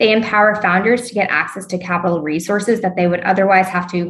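A fairly even intonation in an American accent, with noticeable background noise. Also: woman. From US South, North Carolina (Raleigh-Durham). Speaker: venture capital investor. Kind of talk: interview.

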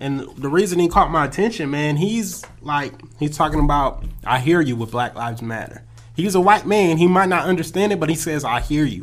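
A man with an American accent and an unremarkable speaking voice, fairly high in pitch, with lively intonation and a fairly quick pace. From California. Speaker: podcast co-host. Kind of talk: casual chat.

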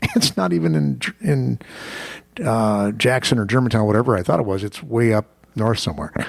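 Speaking with an American accent, a man uses a plain, everyday voice that is fairly low in pitch. His intonation is lively and his pace fairly quick. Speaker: radio host. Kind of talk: radio host patter, chatty business talk show banter. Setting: radio studio broadcast. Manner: fast talking, upbeat, conversational with punchy asides.

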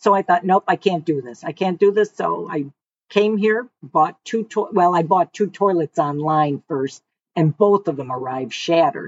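In a Detroit accent, a woman speaks at a fairly low pitch. Her pace is moderate and her intonation lively. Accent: Inland North US (Detroit). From Michigan (Detroit area). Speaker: retiree, customer. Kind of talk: casual interview.

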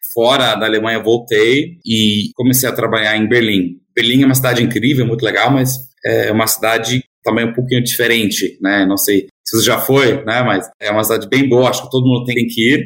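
A man at a medium pitch and a fairly quick pace, with hardly any pauses, fairly even intonation and very even loudness. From Germany. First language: German (speaking Portuguese). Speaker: tech company founder and CEO. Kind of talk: interview.

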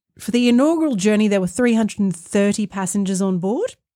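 With an Australian accent, a woman speaks at a fairly quick pace and medium pitch, her intonation lively, in a very clean recording with a silent background. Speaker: podcast co-host. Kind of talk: casual chat.

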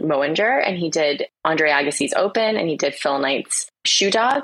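At a moderate pace, a woman with an American accent speaks at a very deep, low pitch with ordinary pitch variation. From Florida, US. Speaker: ghostwriter and author. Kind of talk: casual interview chat.

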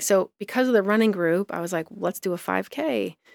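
At a moderate pace, the speaker talks with an American accent in a very clean recording with a silent background. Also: woman. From US Midwest, southeastern Michigan small town. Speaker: blogger and publisher. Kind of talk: casual interview chat.

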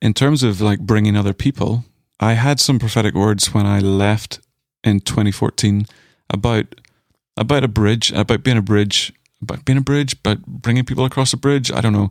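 In a Northern Irish accent, a man speaks at a fairly low pitch with ordinary pitch variation and very even loudness, the sound dry and close with no echo. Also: moderate pace. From Northern Ireland. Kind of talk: casual chat.

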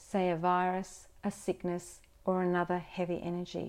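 A woman with a dark, mellow tone speaks at a medium pitch in a gentle, soothing tone, on a very clean recording with a silent background. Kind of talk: guided meditation. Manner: slow, soft-spoken and soothing, with long calming pauses; gentle and reassuring, coaxing the listener to visualize.

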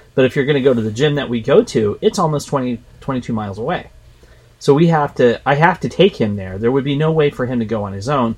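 Somewhat breathy and medium in pitch, a man's voice moves at a fairly quick pace with lively intonation. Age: 50s. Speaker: fitness podcast co-host. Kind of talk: casual chat.

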